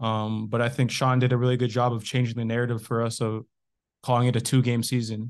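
A man with a Canadian accent speaks very fast at a medium pitch in a monotone, flat delivery against a quiet background. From Canada. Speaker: professional footballer. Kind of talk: casual chat.

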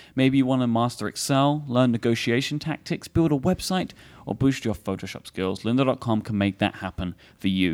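The voice has a British accent. The pace is moderate. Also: man. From England. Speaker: podcast host. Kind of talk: casual chat. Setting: stage with audience.

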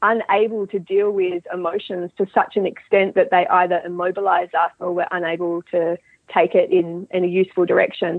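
A woman talks with an Australian accent. Her pitch is medium and her pace moderate. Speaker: mental skills coach. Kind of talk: interview.

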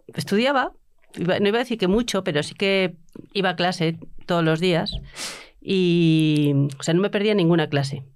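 Recorded very cleanly with a silent background, a woman with a fairly low voice talks at a moderate pace, her loudness very even, with long, frequent pauses. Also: ordinary pitch variation. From Bilbao, Spain. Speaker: university professor. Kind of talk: casual chat.

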